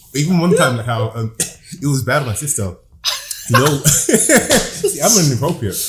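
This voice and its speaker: Over noticeable background noise, a man with a London accent speaks at a fairly high pitch with very wide pitch swings. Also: moderate pace. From London, Hackney. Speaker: comedian and visual artist. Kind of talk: casual chat.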